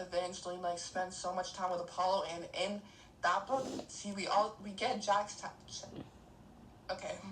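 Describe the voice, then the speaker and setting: The speech moves at a very slow pace with monotone, flat intonation. Noticeable background noise and audible room echo fill the recording. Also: woman. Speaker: book podcast co-host. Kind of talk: casual chat. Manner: halting, many fillers.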